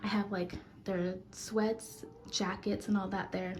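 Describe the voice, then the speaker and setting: A woman talks at a moderate pace with a medium pitch. Her pitch varies in an ordinary way, and there is noticeable background noise. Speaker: vlogger, stay-at-home mom. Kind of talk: casual vlog. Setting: at home.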